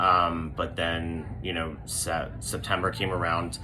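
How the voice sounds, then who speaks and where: A quiet man amid audible room echo and noticeable background noise. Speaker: dance studio owner. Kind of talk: appeal to parents. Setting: back office of studio. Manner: hesitant, many fillers.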